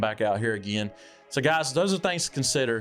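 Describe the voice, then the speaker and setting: At a very fast pace, a man speaks in a Southern US accent at a medium pitch. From US South. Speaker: backpacking vlogger. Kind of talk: casual tutorial. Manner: casual, filler-heavy.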